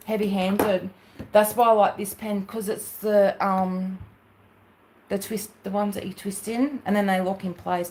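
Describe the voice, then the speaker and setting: The speaker has an American accent and a somewhat breathy voice. The intonation is flat and monotone. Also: woman, medium pitch for a woman, moderate pace. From Australia, New South Wales. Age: 40s. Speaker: craft livestreamer. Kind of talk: casual livestream chat.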